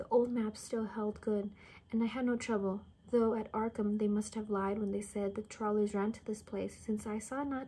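In a dark, mellow, somewhat breathy voice, a woman speaks at a moderate pace with monotone, flat intonation. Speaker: reader. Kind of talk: story reading aloud. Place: home room. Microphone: phone near.

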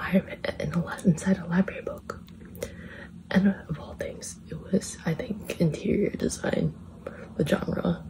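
Whispering, a woman speaks at a very slow pace. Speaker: ASMR creator. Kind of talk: whispered ASMR rambling to camera. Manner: whispered, soft-spoken, rambling. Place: home room. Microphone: phone near.

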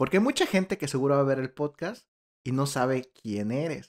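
Moderate in pace, a man's voice sits at a fairly high pitch. The background is quiet. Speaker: podcast host. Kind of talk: casual interview chat. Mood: cheerful, smiling. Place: home room. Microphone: studio mic.

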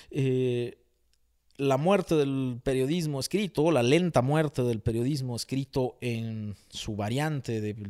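A man's very slow speech against a quiet background. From Mexico. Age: 40s. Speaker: writer; interviewee. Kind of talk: interview. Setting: at home. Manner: hesitant with many fillers. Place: home room. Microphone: handheld.

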